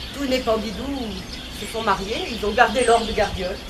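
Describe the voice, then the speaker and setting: Noticeable background noise sits behind a woman's voice. She speaks at a moderate pace with a fairly high pitch. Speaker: storyteller. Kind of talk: folk tale storytelling.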